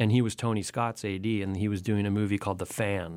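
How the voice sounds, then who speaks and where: A man with a Californian accent and fairly even intonation, in a very clean recording with a silent background. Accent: Californian American. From Southern California, Santa Monica. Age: 40s. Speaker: magazine editor. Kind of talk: casual chat. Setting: radio studio.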